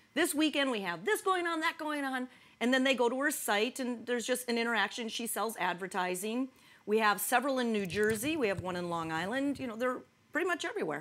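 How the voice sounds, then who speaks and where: A woman's very fast, high-pitched speech in a Midwestern accent, with very wide pitch swings. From US Midwest. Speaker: talk show co-host. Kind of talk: casual chat.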